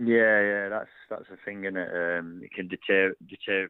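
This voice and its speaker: In an East Midlands accent, a man with a very deep, low pitch speaks at a moderate pace in a monotone, flat intonation. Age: 20s. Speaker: professional boxer. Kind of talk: interview.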